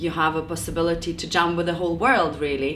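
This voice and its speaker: A woman with a fairly low voice and ordinary pitch variation speaks in a room with audible echo. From Lithuania. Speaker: jazz singer and music teacher. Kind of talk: interview. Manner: halting.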